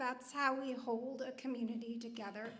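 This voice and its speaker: Over audible room echo, a woman with a high pitch speaks at a moderate pace in a monotone, flat intonation. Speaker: nonprofit leader on a panel. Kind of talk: panel discussion remarks. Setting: church hall event with audience.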